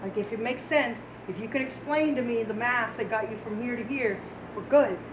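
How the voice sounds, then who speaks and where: Speaking at a fairly quick pace, a woman with a fairly high pitch and ordinary pitch variation comes through noticeable background noise and audible room echo. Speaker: math teacher. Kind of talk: lecture. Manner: fast; casual.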